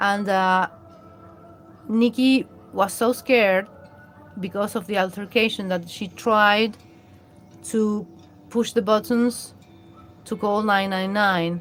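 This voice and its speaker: With a Latin American accent, a woman speaks at a very slow pace and a fairly high pitch, her intonation fairly even, with music in the background. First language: Spanish. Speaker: live streamer. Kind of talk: live stream commentary. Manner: halting, many fillers and restarts.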